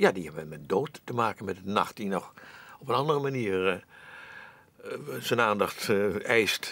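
A man speaks in a bright, sharp tone at a fairly slow pace. His intonation is lively and his loudness swings widely. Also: fairly low pitch for a man. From Netherlands. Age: 80s+. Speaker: actor. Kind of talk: interview answer. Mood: reflective, musing. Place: studio.

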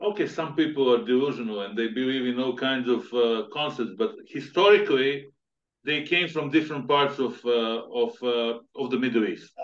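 A man talks in a normal speaking voice, medium in pitch with ordinary variation, keeping a moderate pace. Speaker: podcast host. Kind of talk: interview. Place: home room. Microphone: video call.

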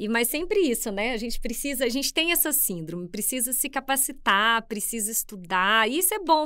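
A woman's high-pitched, bright and sharp voice with a Minas Gerais accent, lively intonation and a moderate pace, over a quiet background. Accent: Minas Gerais (mineiro). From Brazil, interior of Minas Gerais. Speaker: public administration school head, economist; podcast guest. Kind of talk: interview conversation. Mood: warm, relaxed, slightly humorous. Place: studio. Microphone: studio mic.

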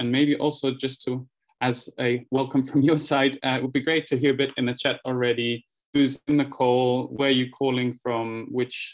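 In a flat monotone, a man speaks at a moderate pace over a quiet background. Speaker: workshop host. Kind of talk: online workshop welcome. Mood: friendly, welcoming. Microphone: video call.

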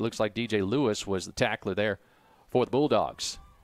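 In a very clean recording with a silent background, a man with a plain, everyday voice speaks at a fairly low pitch with ordinary pitch variation. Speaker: play-by-play announcer. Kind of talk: live sports commentary, play-by-play. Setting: stadium press box broadcast.

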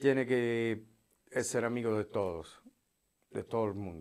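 With an Italian accent, a man talks in a fairly even intonation against a quiet background. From Italy. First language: Italian (speaking Spanish). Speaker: former prisoner; interview guest. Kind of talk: testimony. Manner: halting. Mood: calm, serious storytelling. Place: studio. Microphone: lapel.

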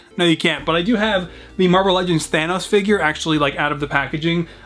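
At a very fast pace, a man with a high pitch keeps very even loudness and fairly even intonation. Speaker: toy collector vlogger. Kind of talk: casual vlog chat. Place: home room.

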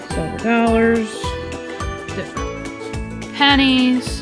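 Clear music plays in the background under very slowly paced speech. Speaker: auction house presenter. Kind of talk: auction preview presentation to camera. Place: hall. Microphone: phone near.

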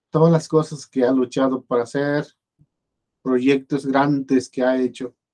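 In a quiet background, a man with medium pitch and a dark, mellow tone speaks at a fairly slow pace in monotone, flat intonation. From Mexico. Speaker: video blogger commenting on politics. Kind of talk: casual spoken commentary. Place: home room. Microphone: webcam.

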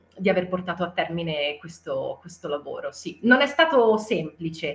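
Music plays in the background as a woman with a fairly low pitch speaks with ordinary pitch variation. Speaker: voice actor. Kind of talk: interview answer. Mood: cheerful, animated. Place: home room.

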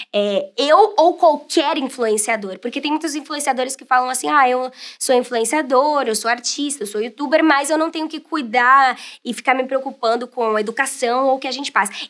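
The voice moves at a moderate pace with ordinary pitch variation and big swings in loudness. The background is quiet. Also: woman, high pitch for a woman. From Brazil, São Paulo. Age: 20s. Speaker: voice actor and youtuber; voice actor, youtuber. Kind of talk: interview monologue. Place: studio.

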